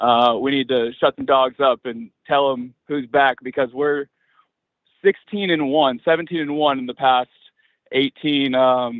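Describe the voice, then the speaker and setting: He has a normal speaking voice at a medium pitch. The man talks at a fairly slow pace. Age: young. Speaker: caller. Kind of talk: call-in radio talk.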